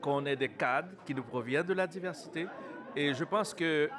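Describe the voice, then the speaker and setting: Speech at a moderate pace amid noticeable background noise. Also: man. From Montreal, Quebec. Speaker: city councillor. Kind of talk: interview. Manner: halting.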